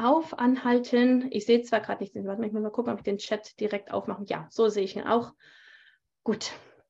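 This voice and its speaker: Speaking fairly quickly, a woman with a plain, everyday voice uses a fairly high pitch that varies in an ordinary way. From Germany. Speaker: tantra teacher and bodyworker. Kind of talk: interview. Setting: video call.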